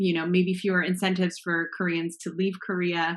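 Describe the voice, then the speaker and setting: A woman speaks at a moderate pace in an American accent, her pitch in the middle range. The background is quiet. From Los Angeles, US. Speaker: guest speaker. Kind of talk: panel Q&A discussion.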